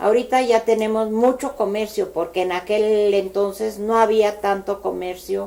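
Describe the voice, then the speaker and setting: A woman speaks in a central Mexican accent at a fairly slow pace. Her medium-pitched voice has a dark, mellow tone and fairly even intonation. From Mexico City, Cuajimalpa. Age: 60s. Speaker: local elder sharing memories. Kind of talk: oral history interview. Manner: hesitant, with fillers.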